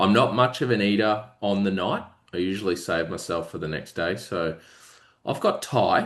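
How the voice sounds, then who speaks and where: In an Australian accent, a man speaks at a moderate pace with a fairly low pitch and ordinary pitch variation. The background is quiet. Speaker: podcast co-host. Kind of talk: casual chat.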